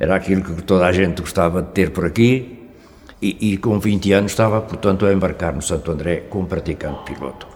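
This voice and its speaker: Noticeable background noise sits under a man's very deep, low voice, which moves at a fairly quick pace with ordinary pitch variation. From Portugal, Gafanha da Nazaré (Aveiro). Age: 80s+. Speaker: retired cod fisherman. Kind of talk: oral history testimony. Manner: halting.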